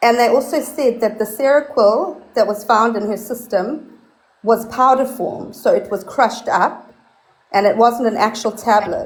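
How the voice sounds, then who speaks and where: In a South African accent, a woman with a fairly high pitch speaks at a fairly slow pace with ordinary pitch variation. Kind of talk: casual chat.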